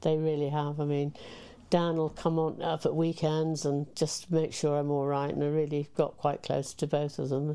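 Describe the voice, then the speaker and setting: This woman has a very deep, low pitch and a dark, mellow tone. She speaks at a moderate pace with monotone, flat intonation. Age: 80s+. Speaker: local councillor and islander. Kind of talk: casual interview chat.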